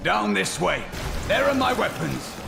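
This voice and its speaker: A man does a put-on character voice at a moderate pace. Loud background noise runs underneath. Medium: machinima. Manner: cold, terse.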